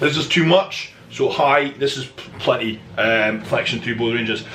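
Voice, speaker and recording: An enthusiastic-toned man against noticeable background noise. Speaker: bodybuilder and online fitness coach. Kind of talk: instructional voiceover explaining exercise technique. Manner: explanatory, enthusiastic.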